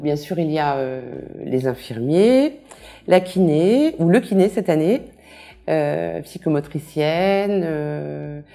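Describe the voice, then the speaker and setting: Music in the background behind a very slow delivery full of long, frequent pauses. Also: woman. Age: 60s. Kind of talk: testimony. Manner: hesitant, many fillers.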